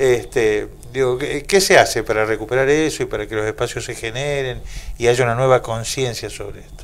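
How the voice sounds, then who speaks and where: A man talks at a fairly quick pace. His loudness swings widely. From Argentina. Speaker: radio host. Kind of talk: radio interview. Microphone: handheld.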